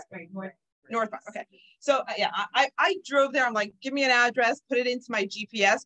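The voice has a bright, sharp tone and a slight Canadian accent, with ordinary pitch variation. The sound is dry and close with no echo. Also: woman. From Toronto, Canada. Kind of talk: lecture.

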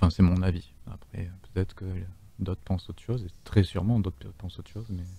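Very fast and somewhat breathy, a man speaks in a very deep, low voice with a dark, mellow tone. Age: 30s. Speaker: streamer and game host. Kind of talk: live game stream commentary. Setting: voice chat from home. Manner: animated.

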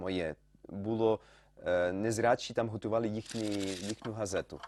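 A man speaks at fairly low pitch and a fairly slow pace. The recording is very clean, with a silent background and a dry, close sound with no echo. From France, Lyon. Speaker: photographer. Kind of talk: interview. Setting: studio. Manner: halting.

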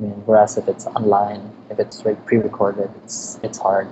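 A man's fairly low voice with a Filipino accent, moderate pace, and noticeable background noise. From Philippines. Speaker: designer and illustrator; podcast guest. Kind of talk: interview. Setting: remote call. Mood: relaxed, laughing at times. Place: home room. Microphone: webcam.

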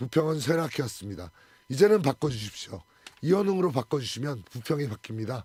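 A man talks at a fairly quick pace in a dark, mellow tone that is somewhat breathy. His pitch swings very widely. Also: medium pitch for a man. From South Korea, Incheon (Bupyeong). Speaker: parliamentary candidate, lawyer. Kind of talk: radio interview. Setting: radio studio.

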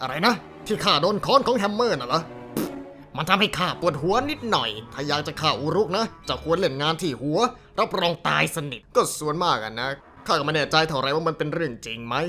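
A man puts on a character voice with a fairly high pitch while clear music plays in the background. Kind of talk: fan dub of game cutscene. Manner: rambling, excitable.

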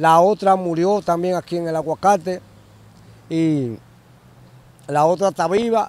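This man has a strong Dominican accent and a high pitch. His pitch varies in an ordinary way, and the sound is dry with no echo. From Dominican Republic. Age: 50s. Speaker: interviewee. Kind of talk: interview answer. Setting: outdoors, next to a bridge. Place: open country. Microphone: handheld.

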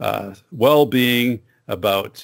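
Ordinary pitch variation from a male speaker against a quiet background. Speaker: podcast host. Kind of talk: podcast intro monologue. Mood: upbeat, friendly. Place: studio. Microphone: studio mic.

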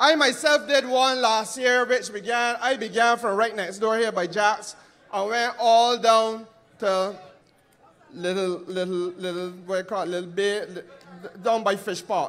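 This man speaks with a Barbadian accent at a fairly slow pace. His pitch is high, with ordinary variation. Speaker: politician. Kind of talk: political rally speech. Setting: stage with audience.

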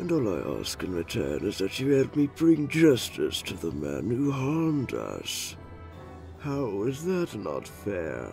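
With clear music in the background, a man does a cartoonish character voice at medium pitch and a fairly slow pace. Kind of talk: villainous dub acting. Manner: smooth, condescending, menacing.

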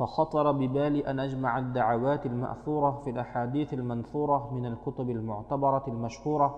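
A man's monotone, flat voice against a quiet background. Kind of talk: reading of a classical religious text.

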